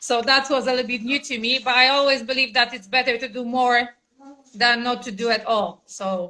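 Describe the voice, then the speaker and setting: With a Polish accent, a woman speaks at a fairly quick pace in a high pitch, with fairly even intonation and a bright, sharp tone. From Poland. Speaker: mother of the channel's child. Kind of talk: interview. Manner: halting.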